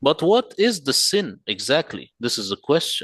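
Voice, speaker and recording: A man with an Arabic accent, very wide pitch swings and a fairly slow pace, in a dry, close sound with no echo and a quiet background. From Middle East. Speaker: Quran translator. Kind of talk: presentation.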